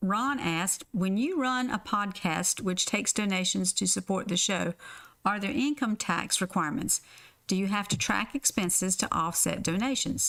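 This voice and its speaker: On a very clean recording with a silent background, a woman with a Southern US accent speaks at a moderate pace and medium pitch, with lively intonation, vocal fry, and very even loudness. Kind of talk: reading listener questions.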